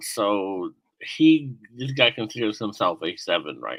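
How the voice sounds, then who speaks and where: A man is speaking. His pace is fairly slow. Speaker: streamer interviewing dating app matches. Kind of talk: casual live-stream interview.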